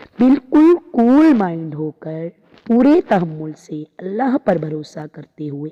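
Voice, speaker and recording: A woman's dark, mellow voice with very wide pitch swings, in a dry, close sound with no echo. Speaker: Islamic preacher. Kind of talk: religious sermon (bayan).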